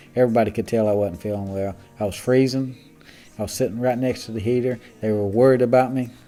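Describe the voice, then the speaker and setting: Over music in the background, a man at medium pitch talks at a very fast pace with fairly even intonation. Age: 60s. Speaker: church member. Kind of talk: testimony. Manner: halting.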